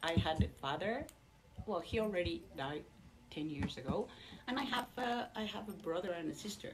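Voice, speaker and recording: With noticeable background noise, a woman speaks at a moderate pace and medium pitch, her pitch swinging very widely between long, frequent pauses. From Mexico (Mexico City). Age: 60s. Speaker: Sikh convert giving a talk. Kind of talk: personal testimony. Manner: halting with many fillers.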